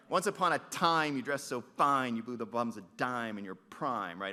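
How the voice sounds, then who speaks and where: Against a quiet background, a man performs a put-on character voice that is raised and projected, with hissing sounds. His pitch is medium, his intonation lively and his pace moderate. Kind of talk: teaching demo, slightly over-articulated. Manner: exaggerated, hissing consonants pushed hard, almost spitting.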